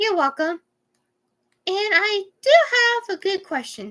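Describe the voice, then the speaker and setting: A woman puts on a squeaky character voice and speaks at a fairly slow pace. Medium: read story.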